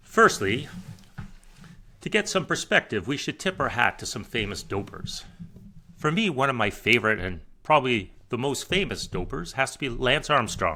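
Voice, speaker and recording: Using a moderate pace, a man at a medium pitch speaks with vocal fry and a bright, sharp tone, his pitch swinging very widely. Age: 60s. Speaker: satirical comedy podcast host. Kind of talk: satirical scripted monologue.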